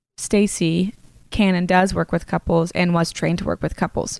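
A woman's fairly low voice with vocal fry, at a fairly quick pace, on a very clean recording over a silent background. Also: dry, close sound with no echo. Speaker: podcast host and licensed therapist. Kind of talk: casual chat. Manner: fast.

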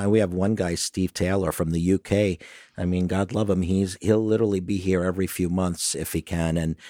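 In a Brooklyn accent, a man with a very deep, low pitch and a dark, mellow tone talks at a fairly quick pace, recorded very cleanly against a silent background with a dry, close sound and no echo. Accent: New York (Brooklyn). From Brooklyn, New York. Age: 50s. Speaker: tour business owner. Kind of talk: interview.

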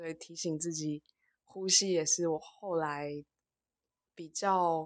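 A woman speaks at a fairly low pitch in a monotone, flat intonation. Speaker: social worker. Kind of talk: casual chat. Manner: halting.

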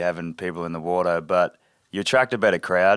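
The speaker is a man with an Australian accent. He talks very fast. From north of Cairns, Queensland, Australia. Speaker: sailing charter first mate. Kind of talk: casual interview with storytelling. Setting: on an anchored sailboat, live in front of crew.

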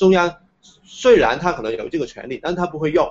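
High-pitched for a man, this speaker uses very wide pitch swings in a Hong Kong accent. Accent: Hong Kong Cantonese-accented Mandarin. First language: Cantonese (speaking Chinese). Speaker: independent media founder and university lecturer. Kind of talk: interview. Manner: hesitant, many filler sounds.

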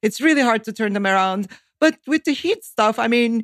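A woman's fairly high voice in a Turkish accent, with a dry, close sound and no echo. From Turkey. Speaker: economist, think tank director. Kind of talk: interview.

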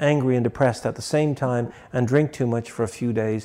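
A man with a Dublin accent, medium pitch and ordinary pitch variation, a dark, mellow tone and a fairly quick pace, on a very clean recording with a silent background. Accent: Dublin Irish. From Ireland, Dublin. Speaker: barber and shop owner. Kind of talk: interview.

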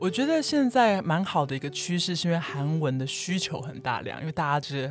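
Fairly quick speech in a Taiwanese accent with lively intonation. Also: woman. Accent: Taiwanese Mandarin. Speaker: Korean-Chinese interpreter and Korean teacher. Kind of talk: interview.

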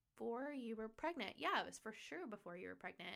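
A woman's voice with vocal fry and lively intonation. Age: 20s. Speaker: podcast host. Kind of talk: casual chat. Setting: studio.

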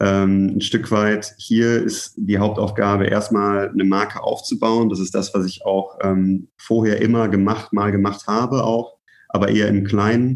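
This man talks at a fairly slow pace in a fairly low pitch, his intonation flat and monotone. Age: 20s. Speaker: brand manager. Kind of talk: casual interview.

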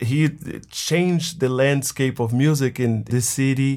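At a very slow pace, a man with a Portuguese accent speaks at a medium pitch with ordinary pitch variation on a very clean recording with a silent background. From Brazil, Bahia. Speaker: drumming band director, music teacher. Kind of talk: interview.

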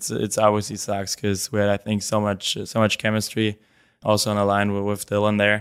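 A man with a German accent talks at a fairly quick pace and fairly low pitch, his intonation monotone and flat, in a very clean recording with a silent background. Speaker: professional hockey player. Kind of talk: interview.

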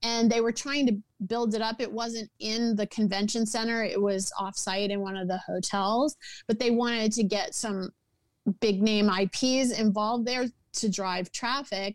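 A normal speaking voice in an American accent, at a fairly slow pace with fairly even intonation, in a dry, close sound with no echo on a very clean recording with a silent background. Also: woman, fairly high pitch for a woman. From US South, New Orleans. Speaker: entertainment producer and writer. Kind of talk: interview conversation.

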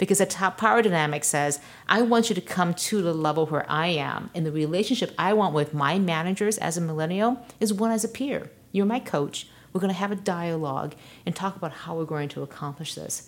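A woman speaks in an unremarkable speaking voice, fairly low in pitch. Her pace is fairly quick, with ordinary pitch variation. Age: 40s. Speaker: tech founder and CEO, author. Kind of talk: interview.

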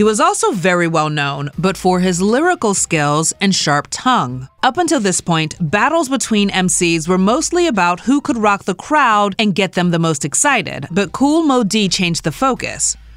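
The speaker moves at a moderate pace with hardly any pauses. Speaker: podcast host. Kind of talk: scripted narration.

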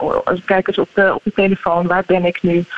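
A woman's fairly low voice at a moderate pace, dry and close with no echo, over noticeable background noise. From Netherlands. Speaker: neuropsychologist. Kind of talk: radio interview.

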